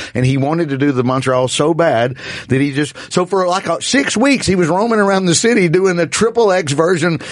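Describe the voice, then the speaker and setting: Animated and lively in intonation, a man with a Southern US accent talks at a fairly quick pace in a high pitch with very even loudness, over noticeable background noise. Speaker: comedian. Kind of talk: casual chat. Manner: animated, profane ranting.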